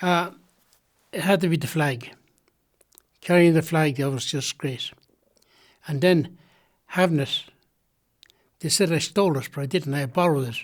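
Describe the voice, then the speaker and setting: In a County Louth accent, a man speaks at a moderate pace and a fairly high pitch with ordinary pitch variation, pausing long and often on a very clean recording with a silent background. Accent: Irish, County Louth. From Ireland, Drogheda. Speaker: retired Olympic boxer. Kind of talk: oral history interview. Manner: halting.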